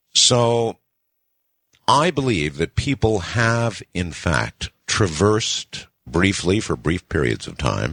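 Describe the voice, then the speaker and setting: On a very clean, dry and close recording with a silent background and no echo, a man with a fairly low pitch and vocal fry speaks very slowly with very wide pitch swings. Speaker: radio talk show host. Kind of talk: late-night radio show hosting. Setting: radio broadcast.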